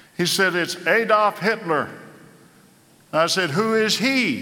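With lively intonation, a man speaks at a fairly slow pace amid audible room echo. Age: 80s+. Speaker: pastor. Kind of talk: sermon.

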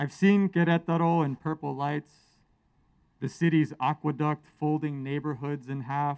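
A man in an American accent, fairly high pitch and fairly even intonation, moderate pace, dry, close sound with no echo on a very clean recording with a silent background. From US West Coast. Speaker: poet. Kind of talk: poetry reading. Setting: outdoors, stage with audience. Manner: loud.

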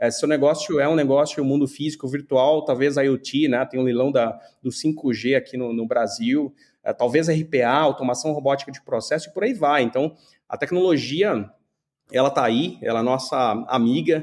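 In a normal speaking voice, a man talks at a fairly high pitch and moderate pace with ordinary pitch variation, on a very clean recording with a silent background. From Brazil, São Paulo. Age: 30s. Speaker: tech entrepreneur. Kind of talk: interview.

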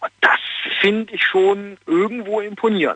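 This man talks with a high pitch. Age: 40s. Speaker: caller. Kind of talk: phone-in opinion. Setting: phone call.

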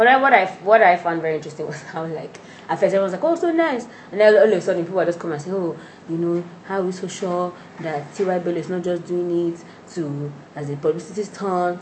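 A woman speaks very fast at a fairly low pitch, with ordinary pitch variation and big swings in loudness. Audible room echo and noticeable background noise fill the recording. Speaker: podcast host. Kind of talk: casual chat.

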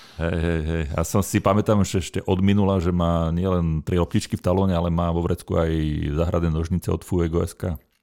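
A man speaks in a very deep, low voice at a fairly quick pace, with monotone, flat intonation. The recording is very clean, with a silent background. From central Slovakia (Nová Baňa). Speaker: podcast host, gardening expert. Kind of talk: casual chat.

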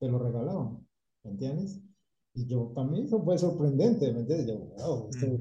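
A man speaks at a medium pitch with a dark, mellow tone and a somewhat breathy quality. His intonation is lively, and audible room echo surrounds it. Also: moderate pace. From Colombia, Cali. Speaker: painting company owner. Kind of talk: interview.

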